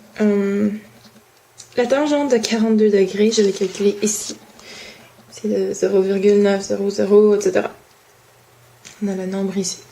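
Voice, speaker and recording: Over noticeable background noise, a woman speaks at a moderate pace and medium pitch, leaving long, frequent pauses. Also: fairly even intonation. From Quebec. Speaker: student. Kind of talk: homework explanation. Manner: halting.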